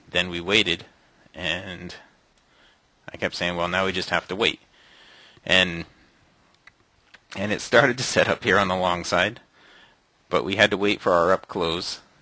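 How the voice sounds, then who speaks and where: Using long, frequent pauses, a man with a very deep, low pitch speaks in a bright, sharp tone. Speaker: day trading room host. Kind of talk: trading recap tutorial. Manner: fast; animated.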